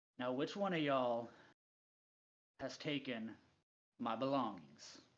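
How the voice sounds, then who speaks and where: The speaker uses a put-on character voice with a low-to-middle pitch. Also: fairly slow pace. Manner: controlled anger, suppressed menace.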